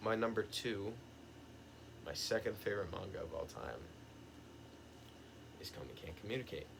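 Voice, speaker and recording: A fairly low male voice at a fairly quick pace, with audible room echo. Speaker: youtuber, manga reviewer. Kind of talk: casual video monologue.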